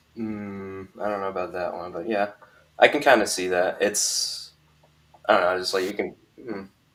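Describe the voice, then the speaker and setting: Mumbling at a moderate pace, a man speaks in a fairly low pitch with fairly even intonation. He leaves long, frequent pauses. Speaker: YouTuber, guest. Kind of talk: casual live stream discussion. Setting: live stream. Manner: mumbling, hesitant.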